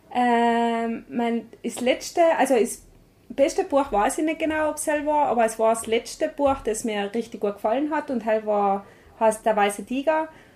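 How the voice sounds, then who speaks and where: Speech moves at a moderate pace. Pitch shifts by an ordinary amount. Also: woman, fairly high pitch for a woman. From South Tyrol, Meran. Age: 20s. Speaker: charity staff member. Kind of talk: interview. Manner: halting.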